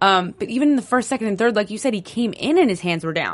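A speaker with an American accent talks very fast in an animated tone. The intonation is lively and the background is quiet. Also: woman. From New Jersey. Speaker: sports podcast host. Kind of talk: casual chat.

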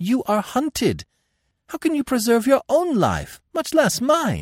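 A man uses a put-on character voice at an extremely high pitch, with very wide pitch swings and a slow pace. The recording is very clean with a silent background, and the sound is dry and close with no echo.

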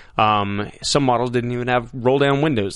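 A man with an American accent speaks in a normal speaking voice at medium pitch. His pace is fairly quick, with ordinary pitch variation. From Texas, El Paso. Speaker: actor. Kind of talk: casual interview. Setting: studio.

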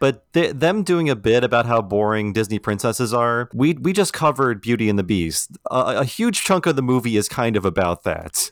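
With an ordinary speaking voice, a man at medium pitch talks at a moderate pace with lively intonation, very even loudness and hardly any pauses. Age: 40s. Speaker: podcast host. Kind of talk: casual chat. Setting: remote recording, temporary setup.

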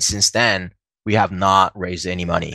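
Against a quiet background, a man speaks in a bright, sharp tone with a dry, close sound and no echo. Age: 30s. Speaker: startup founder and CEO. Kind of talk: interview. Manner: halting, many fillers.

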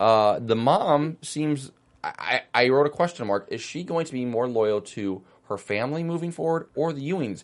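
Against a quiet background, a man speaks at a moderate pace. His pitch is fairly high and his intonation lively. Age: 20s. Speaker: TV after-show host. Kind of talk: casual chat recapping a TV episode. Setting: studio. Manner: animated.

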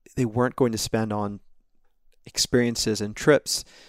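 An ordinary speaking voice with an American accent and fairly even intonation, on a very clean recording with a silent background and a dry, close sound with no echo. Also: man. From US South, rural North Carolina near Smithfield. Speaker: stock analyst. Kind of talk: casual chat.

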